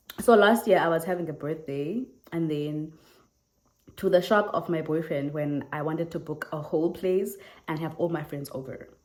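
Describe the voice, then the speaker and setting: A woman with a South African accent speaks at a moderate pace in a fairly low pitch. Her tone is animated, with ordinary pitch variation. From South Africa, Eastern Cape. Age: 20s. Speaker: YouTuber. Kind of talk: casual Q&A vlog.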